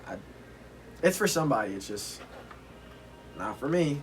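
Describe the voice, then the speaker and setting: Lively intonation from a man at a moderate pace, with audible room echo. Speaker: streetwear YouTuber. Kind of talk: product review vlog. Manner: loud; hesitant, many fillers.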